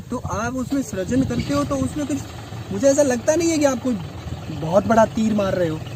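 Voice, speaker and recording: A man talks at a moderate pace with a high pitch and very wide pitch swings. Noticeable background noise runs under his voice. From Rajasthan, India. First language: Rajasthani (speaking Hindi). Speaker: English lecturer and writer. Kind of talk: interview conversation.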